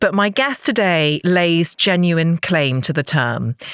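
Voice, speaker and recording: Speaking fairly slowly with a British accent, a woman uses a fairly low pitch with very wide pitch swings, in a dry, close recording with no echo. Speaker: podcast host. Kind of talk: podcast intro.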